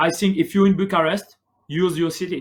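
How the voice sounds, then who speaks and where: A man speaks with a French accent. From France. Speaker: barista. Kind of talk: livestream interview answer.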